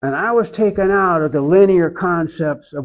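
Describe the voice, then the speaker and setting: Against a quiet background, a man with an Oklahoma accent speaks at a moderate pace with ordinary pitch variation. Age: 70s. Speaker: iconographer. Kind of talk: interview.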